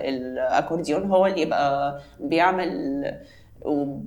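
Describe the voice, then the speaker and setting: A woman's lively intonation comes through with audible room echo. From Egypt. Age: young. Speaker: belly dancer, former ballet dancer. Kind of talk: interview.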